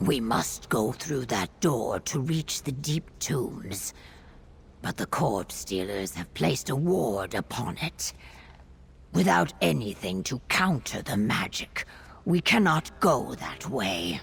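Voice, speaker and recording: A put-on character voice with a low pitch swings very widely and moves at a fairly slow pace. Background noise is clearly audible. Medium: video game. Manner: formal, no contractions.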